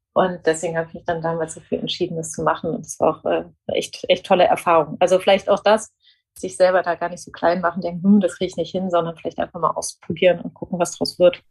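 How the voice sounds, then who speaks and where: A woman rattles along very fast at a fairly low pitch, flat and monotone, with vocal fry and big swings in loudness. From Germany, near Frankfurt. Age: 40s. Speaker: media executive and former journalist. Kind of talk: interview. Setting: home office.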